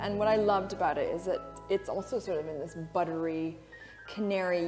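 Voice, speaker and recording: This woman's words come at a moderate pace while clear music sits in the background. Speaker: fashion host. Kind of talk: livestream presentation chat. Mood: warm, enthusiastic. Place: studio.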